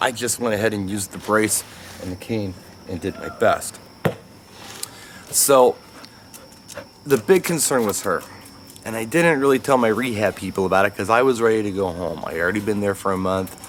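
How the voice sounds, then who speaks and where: A man's fairly low voice at a moderate pace, with ordinary pitch variation, long, frequent pauses and noticeable background noise. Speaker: dog owner vlogger, stroke survivor. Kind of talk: casual vlog talking to camera while playing with dog. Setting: at home, playing fetch with dog. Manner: slurred speech when tired, S sounds become T sounds.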